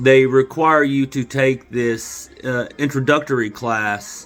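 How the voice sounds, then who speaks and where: Music plays in the background as the speaker talks with an American accent. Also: man. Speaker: vlogger. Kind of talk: casual monologue to camera. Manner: loud; animated.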